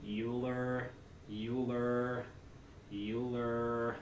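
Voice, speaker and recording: A put-on character voice, low-to-middle in pitch, heard over clear background noise. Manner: droning, repetitive roll-call.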